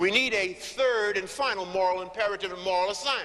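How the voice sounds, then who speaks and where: A raised, projected voice at a fairly quick pace, with ordinary pitch variation. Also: man. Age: 60s. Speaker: motivational speaker on business networking. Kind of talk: panel speech. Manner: emphatic oratory.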